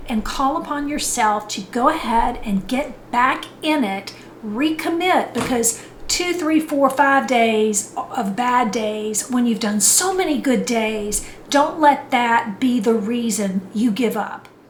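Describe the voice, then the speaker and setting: Amid noticeable background noise and audible room echo, a woman speaks at a very slow pace, her high pitch carried by lively intonation. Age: 60s. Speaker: fitness and lifestyle vlogger. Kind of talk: motivational talk. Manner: conversational.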